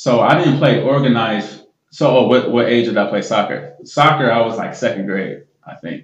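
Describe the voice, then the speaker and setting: With an American accent, this voice shows vocal fry, lively intonation, big swings in loudness and a moderate pace. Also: man, medium pitch for a man. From US Midwest, Columbus, Ohio. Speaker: retired pro football player. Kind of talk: casual interview chat.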